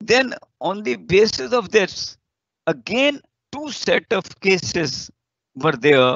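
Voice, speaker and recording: A man speaks with an Indian accent and vocal fry. The sound is dry with no echo, over a quiet background. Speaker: law faculty lecturer. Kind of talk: lecture. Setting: video call. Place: office. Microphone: webcam.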